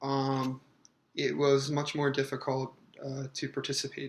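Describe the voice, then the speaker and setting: Speaking fairly slowly, a man uses a flat monotone at a fairly high pitch. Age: 30s. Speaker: mail carrier, stuttering patient. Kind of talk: interview. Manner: halting.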